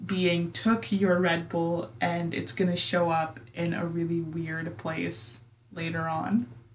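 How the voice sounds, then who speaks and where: Very slowly, a woman speaks in a fairly low, somewhat breathy voice. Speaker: podcast host. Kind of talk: casual chat with ghost story telling. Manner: animated, laughing.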